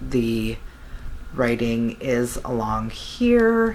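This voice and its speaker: A quiet woman is heard over noticeable background noise with audible room echo. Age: 40s. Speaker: beauty vlogger. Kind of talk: product review. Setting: home, beside napping baby. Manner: lowered, quieter voice; casual with fillers.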